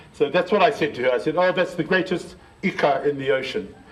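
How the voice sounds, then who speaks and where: A man at a moderate pace, his pitch swinging very widely, over noticeable background noise. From New Zealand. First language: Māori. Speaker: Māori elder and educator. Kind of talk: public heritage talk. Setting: library presentation. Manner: hesitant, conversational.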